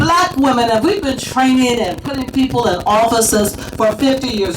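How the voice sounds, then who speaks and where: A woman speaks at a high pitch with lively intonation and an animated tone. Noticeable background noise runs underneath. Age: 70s. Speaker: activist speaker at a rally. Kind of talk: rally speech. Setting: outdoor rally with crowd.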